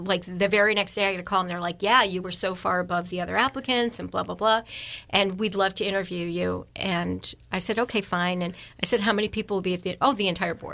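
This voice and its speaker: A woman with a medium pitch talks at a fairly quick pace in a bright, sharp tone. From moved around US: upstate New York, Texas, Arizona. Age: 60s. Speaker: nonprofit housing executive. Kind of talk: radio interview, casual storytelling. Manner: animated.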